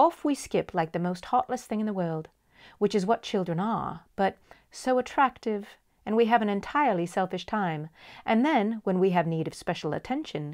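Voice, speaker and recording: On a very clean recording with a silent background, a woman with an ordinary speaking voice and medium pitch talks at a moderate pace. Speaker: audiobook storyteller. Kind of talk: bedtime story reading.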